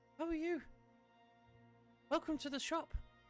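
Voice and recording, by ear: A squeaky put-on character voice is heard. Faint music plays in the background. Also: moderate pace.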